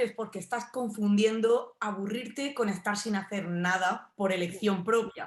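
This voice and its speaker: A woman speaks with a southern Spanish accent at a moderate pace. Her pitch is fairly high and her intonation fairly even. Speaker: philosophy researcher. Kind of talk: interview. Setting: radio show.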